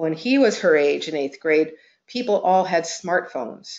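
A woman talks at a fairly low pitch in a plain, everyday voice. The background is quiet. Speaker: webinar presenter. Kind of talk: presentation talk. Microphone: video call.

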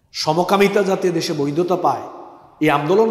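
A man's high voice with fairly even intonation, in a quiet background with audible room echo. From Bangladesh. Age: 30s. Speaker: Islamic preacher. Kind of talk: sermon. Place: hall. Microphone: headset.

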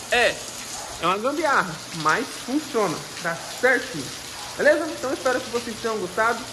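A man's raised, projected voice at an extremely high pitch, over noticeable background noise. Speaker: YouTuber. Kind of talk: casual vlog tutorial. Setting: at home, outdoors in rain. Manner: casual, rambling with hesitations. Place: rain. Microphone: phone near.

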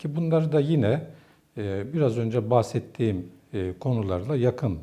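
Somewhat breathy and dark, with a mellow tone, a man's voice moves at a fairly slow pace. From northeastern Turkey (Ardahan, Posof). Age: 50s. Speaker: theology professor. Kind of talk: interview monologue. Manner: formal.

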